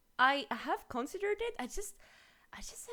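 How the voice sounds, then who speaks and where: A woman speaks with a strong French accent. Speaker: streamer. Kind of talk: casual chat.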